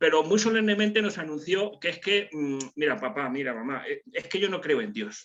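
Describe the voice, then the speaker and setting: Bright, sharp male voice with lively intonation at a moderate pace. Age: 60s. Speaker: participant in a religious discussion group. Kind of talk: group video call discussion. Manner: hesitant, many fillers and repetitions.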